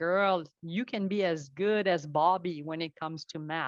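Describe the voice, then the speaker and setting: With a French accent, a woman of fairly low pitch speaks at a fairly slow pace with ordinary pitch variation, in a dry, close sound with no echo against a quiet background. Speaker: network architect and tech instructor. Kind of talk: podcast interview.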